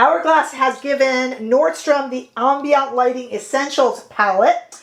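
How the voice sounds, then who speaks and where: A woman speaks at a fairly slow pace in a high voice. Noticeable background noise runs behind her. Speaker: beauty youtuber. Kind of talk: product review.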